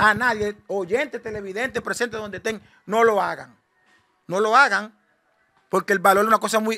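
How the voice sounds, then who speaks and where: In front of a quiet background, a man with a high pitch projects a raised voice in a bright, sharp tone, at a moderate pace with fairly even intonation and long, frequent pauses. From Dominican Republic. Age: 40s. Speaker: shipwreck survivor. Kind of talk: interview testimony. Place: home room. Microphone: handheld.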